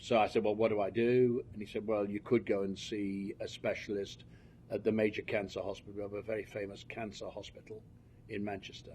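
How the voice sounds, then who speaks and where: A man in a British accent, fairly low in pitch, fairly quick in pace, monotone and flat in intonation. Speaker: cancer patient. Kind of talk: testimony. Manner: halting, with frequent fillers.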